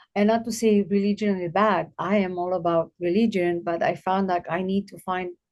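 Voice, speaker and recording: A woman with a non-native accent speaks at a medium pitch in a flat monotone, with hardly any pauses. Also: moderate pace. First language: not English. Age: 50s. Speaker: abuse survivor and guest speaker. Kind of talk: podcast interview.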